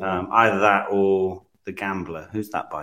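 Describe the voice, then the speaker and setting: A man speaks with a British accent at a moderate pace. The recording is very clean, with a silent background. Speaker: special guest, tabletop player. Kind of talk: casual chat.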